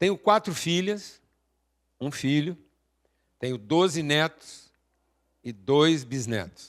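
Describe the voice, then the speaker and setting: Here a man's voice moves in very wide pitch swings. The recording is very clean, with a silent background. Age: 60s. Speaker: speaker at an event. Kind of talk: motivational talk. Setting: stage with audience.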